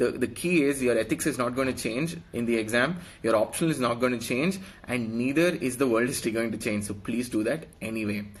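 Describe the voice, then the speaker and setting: In an Indian accent, a man at medium pitch talks at a fairly quick pace with ordinary pitch variation. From India, Karnataka (Bangalore). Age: 20s. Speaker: police officer giving exam advice. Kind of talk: live stream exam advice. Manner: hesitant, many fillers.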